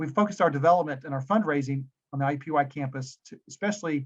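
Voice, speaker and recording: A man with a Tennessee accent talks at a very fast pace and a fairly high pitch. His voice is somewhat breathy. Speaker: business school dean. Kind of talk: webinar presentation. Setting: video webinar.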